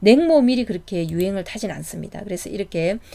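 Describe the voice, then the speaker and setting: The voice has a dark, mellow tone and moves at a fairly quick pace with ordinary pitch variation. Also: woman. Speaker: startup business consultant. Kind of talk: lecture. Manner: casual with fillers and self-corrections.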